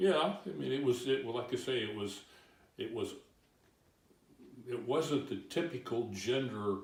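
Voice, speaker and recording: With an American accent, a man speaks fairly slowly at a medium pitch, somewhat breathy, with lively intonation. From Santa Cruz, California. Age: 70s. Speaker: retired Navy worker. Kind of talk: interview answer.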